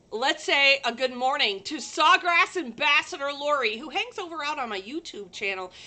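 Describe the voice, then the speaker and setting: The voice is raised and projected, moving at a moderate pace with very wide pitch swings. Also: woman. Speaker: livestream host, sublimation crafter. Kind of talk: casual livestream chat. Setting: live stream from a working shop. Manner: loud.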